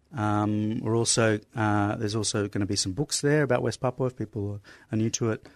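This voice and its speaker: Over a quiet background, a man with a fairly low pitch talks at a fairly quick pace with ordinary pitch variation, the sound dry and close with no echo. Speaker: writer and ESL teacher. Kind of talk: casual interview. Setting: studio. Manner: hesitant, filler-heavy.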